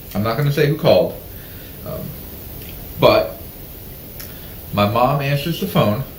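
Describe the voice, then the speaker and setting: Speaking at a moderate pace with an American accent, a man leaves long, frequent pauses amid noticeable background noise. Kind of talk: casual talk show conversation.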